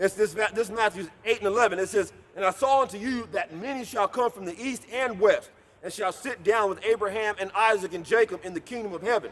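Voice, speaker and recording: This man talks loudly at a fairly quick pace. His pitch sits high for a man. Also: ordinary pitch variation. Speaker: street preacher. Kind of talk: sermon. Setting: outdoors. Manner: aggressive.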